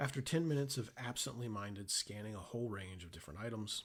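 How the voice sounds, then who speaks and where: A man talking at a very fast pace, lively in intonation and somewhat breathy. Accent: American. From Oklahoma, US. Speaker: author. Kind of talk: reading aloud.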